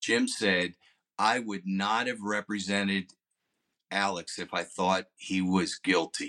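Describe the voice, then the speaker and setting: A man with a fairly low pitch and a bright, sharp tone speaks at a very slow pace in a monotone, flat intonation, with a dry, close sound with no echo on a very clean recording with a silent background. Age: 60s. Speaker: attorney. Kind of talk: casual legal discussion.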